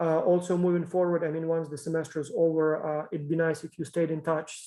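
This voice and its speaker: A man with a non-native accent talks very fast in a flat monotone. His voice has a fairly high pitch and a dark, mellow tone. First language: not English. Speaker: professor. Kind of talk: lecture. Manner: halting.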